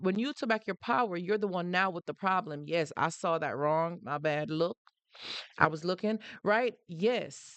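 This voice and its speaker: In a Jamaican accent, a woman talks in an animated tone at a medium pitch. Her pitch varies in an ordinary way, and the background is quiet. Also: dry, close sound with no echo. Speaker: live-stream host on narcissistic abuse. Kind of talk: live stream talk.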